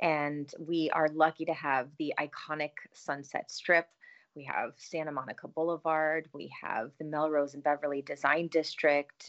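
A woman with an American accent speaks at a fairly slow pace in a very deep, low voice, her intonation flat and monotone, her loudness swinging widely, with hardly any pauses and a dry, close sound without echo. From US Midwest, east side of Cleveland, Ohio. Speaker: mayor and political candidate. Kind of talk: interview.

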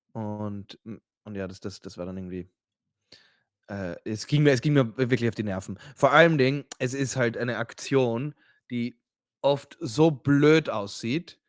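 Recorded very cleanly against a silent background, with a dry, close sound and no echo, a man speaks at a very slow pace and medium pitch with ordinary pitch variation. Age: 30s. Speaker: podcast co-host. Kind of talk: casual chat.

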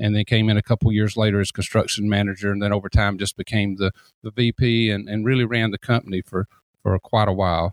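A man with a Southern US accent, monotone, flat intonation and a fairly quick pace, in a dry, close sound with no echo. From Columbus, Georgia, US South. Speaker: deck builder and consultant. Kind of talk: casual interview.

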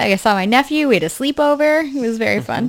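A woman speaks at a high pitch with a New Hampshire accent. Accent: New England accent, New Hampshire. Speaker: podcast co-host.

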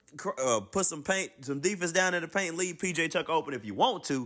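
A man speaks in an animated tone. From Alabama, US South. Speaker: sports video commentator. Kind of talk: casual sports debate.

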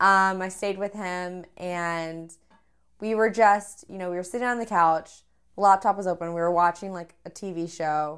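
On a very clean recording with a silent background, a woman with an American accent uses an unremarkable speaking voice at a medium pitch and fairly even intonation. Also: big swings in loudness. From Texas. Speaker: guest, traveler and polo player. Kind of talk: casual chat.

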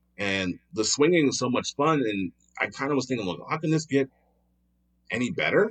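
Speaking at a moderate pace with an American accent, the voice makes very wide pitch swings and long, frequent pauses in a dry, close sound with no echo. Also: man, medium pitch for a man. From Philadelphia, Pennsylvania. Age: 40s. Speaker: improv comedian. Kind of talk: casual chat.

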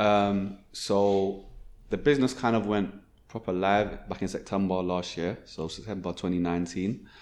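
A man talks in a plain, everyday voice with a fairly low pitch. His intonation stays fairly even at a moderate pace. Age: young. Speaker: events business founder. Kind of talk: casual interview.

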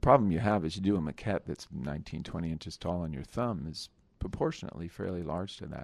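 A man with an American accent talks very fast in a very deep voice with vocal fry and lively intonation. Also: very clean recording, silent background. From New Jersey. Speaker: sculptor. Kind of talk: interview. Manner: halting, many fillers and repetitions.

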